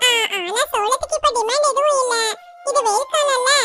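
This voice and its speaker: Putting on a squeaky character voice, a woman speaks at a moderate pace with an extremely high pitch. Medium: fan dub. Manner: smooth, bargaining.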